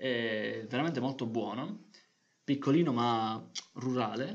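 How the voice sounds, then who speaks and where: There is vocal fry in this man's medium-pitched voice, which shows ordinary pitch variation. Audible room echo is present. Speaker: podcast co-host. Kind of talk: casual chat.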